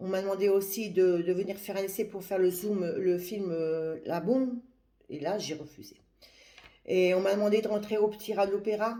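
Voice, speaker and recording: Audible room echo surrounds a woman speaking at a moderate pace in a medium pitch. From France, Paris. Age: 60s. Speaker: religious woman giving advice to young women. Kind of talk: live video monologue. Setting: livestream. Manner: halting, with many hesitations.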